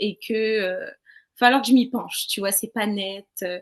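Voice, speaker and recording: Against a quiet background, a woman talks at a fairly slow pace. Her pitch varies in an ordinary way. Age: 20s. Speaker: interviewee sharing personal experiences. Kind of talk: testimony. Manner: casual, hesitant.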